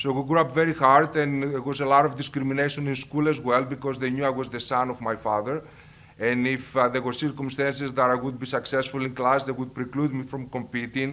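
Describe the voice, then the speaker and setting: The man's delivery is fairly quick, and his intonation stays monotone and flat. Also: medium pitch for a man. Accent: Greek. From Greece, Thessaloniki. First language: Greek. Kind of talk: personal testimony. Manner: halting.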